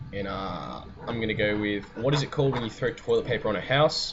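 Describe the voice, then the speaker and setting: A man speaks in an Australian accent at a moderate pace. His pitch varies ordinarily, with noticeable background noise behind him. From Sydney, Australia. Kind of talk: casual talk to camera.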